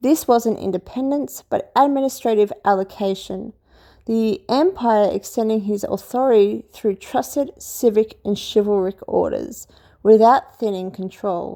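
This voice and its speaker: A dark, mellow voice with an Australian accent, a fairly slow pace and ordinary pitch variation, on a very clean recording with a silent background. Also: woman, fairly high pitch for a woman. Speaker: history commentator. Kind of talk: casual lecture. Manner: hesitant, with fillers.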